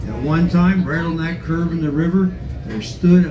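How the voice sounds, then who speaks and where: Music plays behind speech delivered at a moderate pace. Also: man. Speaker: train tour narrator. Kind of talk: tour commentary. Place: train.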